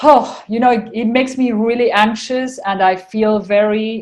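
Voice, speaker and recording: In an Argentinian accent, the speaker talks at a fairly slow pace. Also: woman. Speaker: spiritual channeler. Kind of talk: casual interview chat.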